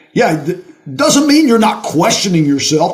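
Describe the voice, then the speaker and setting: A man talks in an animated tone at a high pitch. Noticeable background noise and audible room echo are present. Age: 60s. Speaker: retired college football coach. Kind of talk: casual interview chat.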